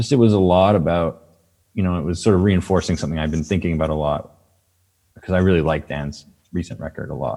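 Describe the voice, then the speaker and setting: A man's very deep, low voice at a very fast pace, with ordinary pitch variation and a dark, mellow tone. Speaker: musician. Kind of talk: interview. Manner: casual, halting with fillers.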